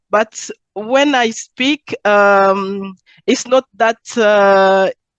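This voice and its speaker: A woman speaks with a Zambian accent, the sound dry and close with no echo. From Congo, moved to Belgium at twelve. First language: Chiluba. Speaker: entrepreneur. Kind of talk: interview. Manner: halting.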